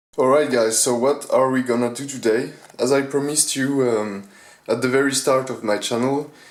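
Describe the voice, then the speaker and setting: A man of medium pitch talks at a moderate pace with fairly even intonation. Room echo is audible. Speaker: gaming gear reviewer. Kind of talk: product review. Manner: halting, many fillers.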